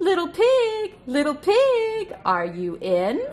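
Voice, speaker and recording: In a put-on character voice, the speaker sounds squeaky at an extremely high pitch and moves at a very slow pace. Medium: read story. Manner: rude, yelling.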